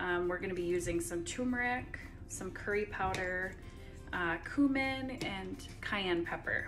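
Clear background music accompanies a woman talking fairly slowly. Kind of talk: casual cooking vlog chat. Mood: friendly, upbeat. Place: kitchen. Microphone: phone near.

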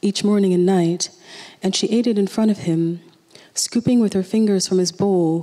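Reading done in a natural voice

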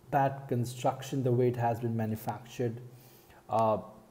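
A man speaks with a dark, mellow tone and a somewhat breathy quality. His intonation stays monotone and flat. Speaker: car vlogger. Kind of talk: casual vlog commentary. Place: home room. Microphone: earbuds.

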